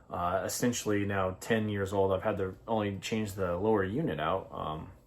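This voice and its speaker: A man's voice at a moderate pace with ordinary pitch variation and audible room echo. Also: fairly low pitch for a man. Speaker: fishing channel host. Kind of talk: casual product review talk. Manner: halting, many fillers.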